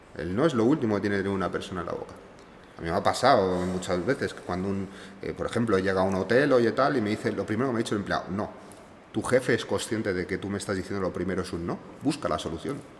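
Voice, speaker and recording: Very fast talk from a man, with ordinary pitch variation. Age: 30s. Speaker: luxury car rental entrepreneur. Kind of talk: casual interview.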